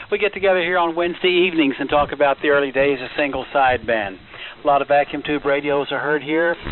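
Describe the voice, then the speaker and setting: A man's fairly high voice at a very fast pace, with ordinary pitch variation and noticeable background noise. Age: 70s. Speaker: ham radio net controller. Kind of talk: amateur radio net talk. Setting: ham radio transmission.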